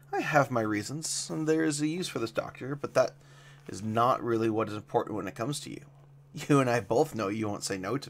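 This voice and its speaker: A man puts on a raspy character voice at a fairly quick pace. Background noise is clear. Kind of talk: archaic royal speech. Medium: read story. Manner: level, regal.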